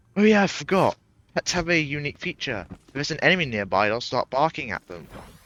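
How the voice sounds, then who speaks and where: Speaking very fast, a man uses a fairly high pitch with very wide pitch swings. Vocal fry runs through his voice. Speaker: gaming streamer. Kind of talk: gameplay commentary. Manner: halting.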